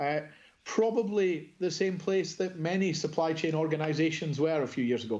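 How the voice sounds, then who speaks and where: Speaking with a Scottish accent, a man has a dark, mellow tone at a fairly high pitch. His pitch variation is ordinary. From Scotland. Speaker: procurement executive. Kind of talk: conference presentation.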